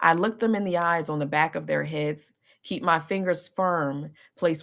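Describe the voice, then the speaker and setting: A woman's fairly low, a normal speaking voice at a fairly slow pace with ordinary pitch variation, on a very clean recording with a silent background. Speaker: author reading own work. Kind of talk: poetry reading.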